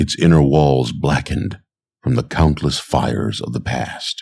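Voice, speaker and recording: At a very slow pace, a man speaks with a very deep, low pitch and a dark, mellow tone. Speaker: narrator. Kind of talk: sleep story. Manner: soft-spoken, slow.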